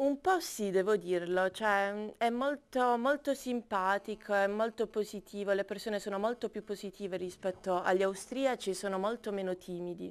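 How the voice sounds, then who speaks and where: An unremarkable speaking voice at a moderate pace, with ordinary pitch variation and hardly any pauses. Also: woman, medium pitch for a woman. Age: 20s. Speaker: architecture student. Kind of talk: casual interview. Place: studio.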